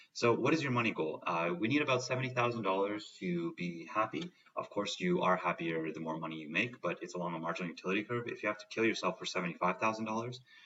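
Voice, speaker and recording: The speech comes at a very fast pace with hardly any pauses and lively intonation, over noticeable background noise. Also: man, fairly low pitch for a man. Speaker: self-improvement vlogger. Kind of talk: casual monologue. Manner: animated. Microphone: poor sound, computer mic issue.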